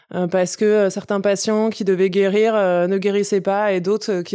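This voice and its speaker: A woman with an unremarkable speaking voice talks at a moderate pace and medium pitch, with fairly even intonation, in a very clean recording with a silent background. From Paris suburbs, Essonne. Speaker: farmer and environmental activist. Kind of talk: casual interview conversation.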